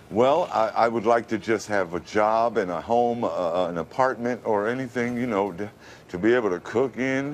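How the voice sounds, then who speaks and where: A man with an American accent has an unremarkable speaking voice at medium pitch. He talks at a moderate pace with ordinary pitch variation. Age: 50s. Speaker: radio announcer voice, formerly homeless. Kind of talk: interview answer. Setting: TV studio interview.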